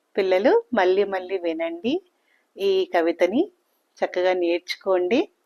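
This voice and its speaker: A woman's medium-pitched voice in a dry, close sound with no echo. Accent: Telangana. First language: Telugu (speaking Hindi). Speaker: children's poem reciter. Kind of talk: reading aloud.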